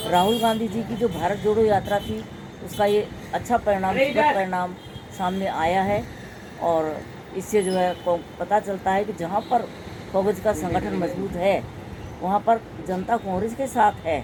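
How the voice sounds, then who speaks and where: There is noticeable background noise as a woman speaks at medium pitch with ordinary pitch variation. She leaves long, frequent pauses. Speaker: local politician. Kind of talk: interview.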